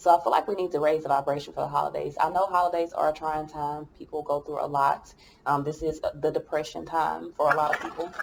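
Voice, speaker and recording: Mumbling at a very fast pace with hardly any pauses, a woman speaks in a very deep, low pitch with monotone, flat intonation amid noticeable background noise. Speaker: tarot reader. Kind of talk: tarot reading.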